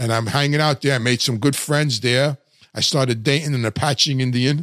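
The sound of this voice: Medium-pitched male voice, fairly bright in tone, at a moderate pace with fairly even intonation and a dry, close sound with no echo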